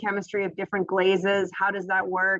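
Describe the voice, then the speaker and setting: A woman speaks at a medium pitch. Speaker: graduate student or program alumna. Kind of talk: Q&A in online info session. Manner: fast.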